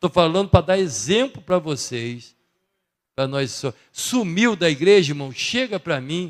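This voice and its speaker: Speaking at a fairly slow pace, a man with a high pitch swings very widely up and down in pitch. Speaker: church member giving announcements. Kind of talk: church announcements. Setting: church service. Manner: casual, conversational.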